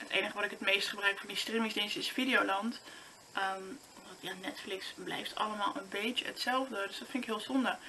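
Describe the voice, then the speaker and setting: Noticeable background noise sits behind a woman speaking at a fairly quick pace and fairly high pitch. She has ordinary pitch variation and big swings in loudness. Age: 20s. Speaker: vlogger. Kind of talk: casual vlog monologue. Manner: halting.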